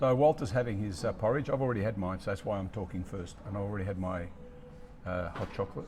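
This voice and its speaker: A man with an Australian accent and fairly low pitch speaks very fast, with ordinary pitch variation. Long, frequent pauses break up his speech over noticeable background noise. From Australia, raised from age three; born in Italy. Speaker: podcast host and author. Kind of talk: casual conversational storytelling. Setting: cafe.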